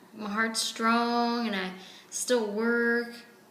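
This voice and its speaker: A woman's fairly high voice at a very slow pace, amid noticeable background noise and audible room echo. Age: 70s. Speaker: patient in role-play. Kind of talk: role-play medical consultation.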